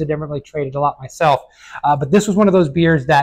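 Over a quiet background, a man talks at a very fast pace, somewhat breathy, his intonation fairly even. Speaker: beer reviewer. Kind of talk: casual review commentary. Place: shop. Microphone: lapel.

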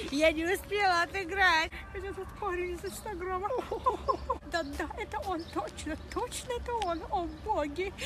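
Against noticeable background noise, a woman speaks at a fairly slow pace with ordinary pitch variation and long, frequent pauses in a dry sound with no echo. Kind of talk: casual excited chat. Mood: amused, excited. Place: street. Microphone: phone near.

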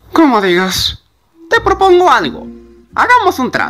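A put-on character voice at a moderate pace. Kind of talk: fan dub. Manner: smooth, theatrical.

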